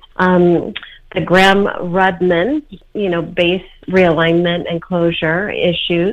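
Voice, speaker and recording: A woman speaks in a normal speaking voice at a medium pitch and a fairly slow pace. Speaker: public relations consultant and whistleblower. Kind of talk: interview.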